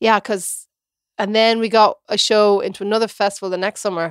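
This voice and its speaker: Talking at a fairly quick pace, a woman has a fairly high pitch and a plain, everyday voice. The recording is very clean, with a silent background. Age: 30s. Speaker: theatre director and performer. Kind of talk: casual chat.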